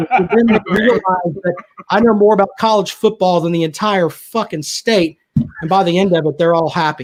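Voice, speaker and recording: At a moderate pace, a man with a Southern accent speaks at a high pitch with ordinary pitch variation. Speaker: sports radio personality. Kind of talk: casual chat. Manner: animated.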